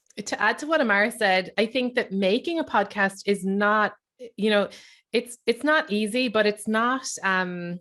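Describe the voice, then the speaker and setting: A woman's fairly high voice with a bright, sharp tone, an Irish accent and ordinary pitch variation. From Ireland. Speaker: writer, comedian and podcaster. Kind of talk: panel discussion. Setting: video call.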